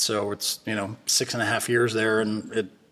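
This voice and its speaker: The speaker is a man. He talks with a Californian accent. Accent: General American (Californian). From California, Bay Area. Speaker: defense tech entrepreneur. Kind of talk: casual interview. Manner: hesitant with many fillers and repetitions.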